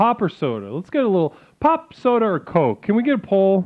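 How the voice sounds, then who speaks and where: At a moderate pace, someone speaks with a Chicago accent. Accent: Chicago accent, nasal. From US Midwest, Chicago area. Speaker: game streamer. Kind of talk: casual live stream chat. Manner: animated.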